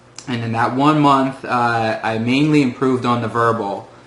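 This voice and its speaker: A man's medium-pitched voice, monotone and flat, at a fairly slow pace with audible room echo. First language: Russian. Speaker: former test-prep student. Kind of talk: testimonial. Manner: hesitant, many filler words.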